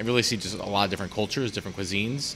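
Light background noise behind a male voice. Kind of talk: interview answer. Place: cafe.

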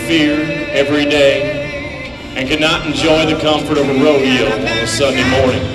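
Clear background music behind a man speaking at a moderate pace. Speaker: rodeo announcer. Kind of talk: patriotic address to arena crowd. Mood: solemn, heartfelt. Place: stadium.

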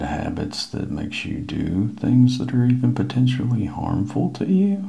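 A man speaks softly. His pace is fairly slow. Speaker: ASMR creator. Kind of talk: ASMR science talk. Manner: soft-spoken. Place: home room. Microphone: lapel.

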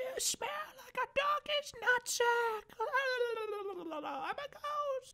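A put-on character voice at an extremely high pitch delivers the words at a very slow pace. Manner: creepy.

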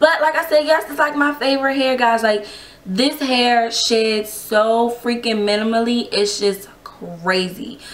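A woman with a high pitch and ordinary pitch variation talks fairly slowly amid noticeable background noise. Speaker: hair reviewer vlogger. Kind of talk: casual vlog review. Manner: casual, chatty, animated.

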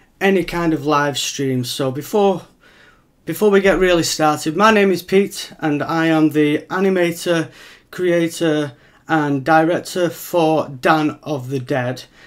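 With quiet all around, a man speaks at a fairly slow pace, his pitch varying in an ordinary way. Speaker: film creator. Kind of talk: live stream Q&A chat. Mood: slightly nervous, enthusiastic. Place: home room. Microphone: webcam.

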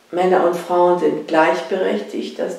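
A woman's voice carries audible room echo. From southern Poland. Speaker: sociology professor. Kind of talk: interview answer. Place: home room.

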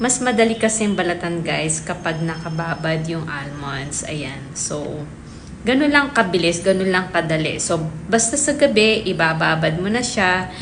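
The speech moves at a moderate pace with lively intonation. Audible room echo and noticeable background noise sit around it. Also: woman, fairly low pitch for a woman. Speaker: lifestyle vlogger. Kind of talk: vlog narration. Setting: outdoors.

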